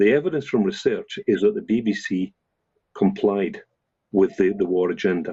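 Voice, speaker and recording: This is a man speaking with a Scottish accent. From Scotland. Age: 70s. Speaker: professor. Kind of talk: current affairs discussion. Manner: halting, many repetitions.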